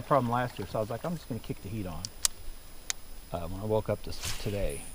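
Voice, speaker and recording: Very fast, lively-intoned speech from a man over light background noise. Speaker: fishing channel host. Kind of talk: casual chat while fishing. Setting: outdoors on the water. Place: waterside.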